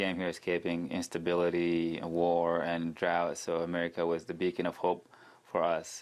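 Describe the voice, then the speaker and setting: A man's very deep, low voice in a monotone, flat intonation, set against a quiet background. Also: moderate pace. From Sudan. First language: not English. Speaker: city council candidate. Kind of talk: interview.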